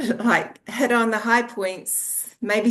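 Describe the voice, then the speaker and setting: The speaker is a woman. She has a New Zealand accent. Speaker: author, former registered nurse. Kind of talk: interview. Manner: halting.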